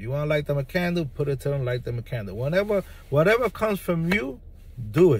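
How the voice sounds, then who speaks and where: Somewhat breathy and fairly high-pitched, a man with an American accent talks at a fairly quick pace with lively intonation. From New York City, the Bronx. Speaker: spiritual practitioner video creator. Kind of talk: monologue to camera. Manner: halting, many fillers.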